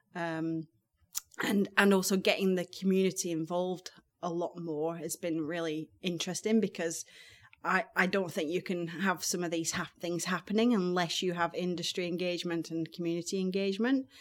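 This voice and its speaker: Speaking in a Lancashire accent, a woman talks at a moderate pace with a fairly low pitch and fairly even intonation. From northern England, Blackburn, Lancashire. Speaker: marine scientist. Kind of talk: interview. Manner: hesitant, many ums.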